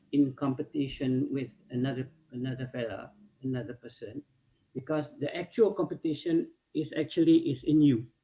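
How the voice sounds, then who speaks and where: A man speaks at a moderate pace in a fairly high pitch. His tone is dark and mellow, somewhat breathy. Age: 60s. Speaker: food and beverage industry veteran. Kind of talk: webinar panel talk. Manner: halting.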